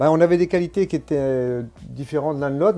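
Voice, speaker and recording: Talking at a very fast pace, a man uses a dark, mellow tone and lively intonation. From Brittany, France. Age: 60s. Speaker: former amateur cyclist. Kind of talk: interview. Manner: halting.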